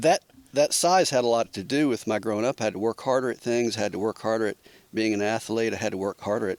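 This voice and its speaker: Fairly quick delivery with ordinary pitch variation, a dry, close sound with no echo, and noticeable background noise. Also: man. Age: 60s. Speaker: podcast guest. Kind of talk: casual chat. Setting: back porch of a cabin.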